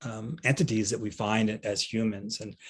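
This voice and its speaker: A somewhat breathy man's voice against a quiet background. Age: 60s. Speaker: veterinarian. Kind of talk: panel talk. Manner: halting, many fillers.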